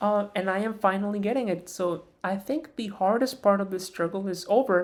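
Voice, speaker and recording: In a very clean recording with a silent background, a woman speaks at a moderate pace with medium pitch and ordinary pitch variation. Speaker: vlogger. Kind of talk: personal vlog monologue. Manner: halting; trained higher-pitched voice.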